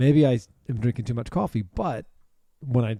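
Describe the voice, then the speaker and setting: Medium in pitch, a man's voice has a dark, mellow tone. The very clean recording has a silent background and a dry, close sound with no echo. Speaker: podcast co-host. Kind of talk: casual chat. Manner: fast.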